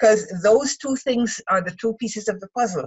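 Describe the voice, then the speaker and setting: A woman with a fairly high, somewhat breathy voice talks at a moderate pace. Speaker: writer and writing mentor. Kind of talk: casual chat. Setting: video call.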